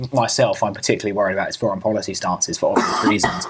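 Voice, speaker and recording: A man speaks very fast with a British accent. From Britain. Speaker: podcast co-host, political commentator. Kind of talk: casual political discussion.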